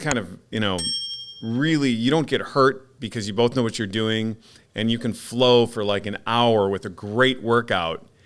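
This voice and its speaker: A man at a medium pitch keeps a moderate pace and ordinary pitch variation despite noticeable background noise. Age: 50s. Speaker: podcast host. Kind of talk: casual chat.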